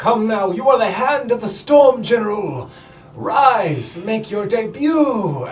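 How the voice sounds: A man's put-on character voice, high in pitch. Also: fairly slow pace.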